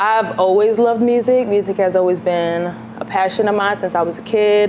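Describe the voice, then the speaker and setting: A woman with a New York accent speaks at a moderate pace and medium pitch, with fairly even intonation. Her loudness is very even, with noticeable background noise. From New York City, Queens. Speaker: singer-songwriter. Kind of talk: interview.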